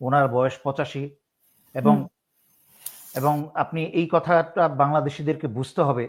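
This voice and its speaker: In a very clean recording with a silent background, a man uses an ordinary speaking voice, fairly high in pitch, with ordinary pitch variation. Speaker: retired army officer and political commentator. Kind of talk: political interview commentary.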